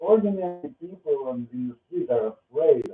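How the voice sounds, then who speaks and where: Lively intonation runs through this speech in a Russian accent. The pace is fairly slow. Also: man. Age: 40s. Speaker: vlogger. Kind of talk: personal monologue. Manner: halting.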